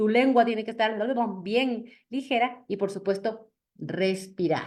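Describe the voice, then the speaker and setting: Over a quiet background, a woman speaks with a fairly high pitch. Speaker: public speaking coach. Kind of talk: lecture. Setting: video call.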